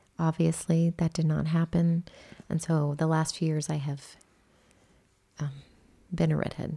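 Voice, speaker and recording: Her voice very deep and low, a woman speaks in a dark, mellow, somewhat breathy tone, monotone and flat, at a fairly slow pace with long, frequent pauses. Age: 30s. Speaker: podcast co-host. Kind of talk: casual chat.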